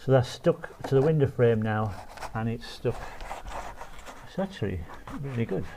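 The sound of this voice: The tone is dark and mellow. Intonation stays lively throughout. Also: man, medium pitch for a man, moderate pace.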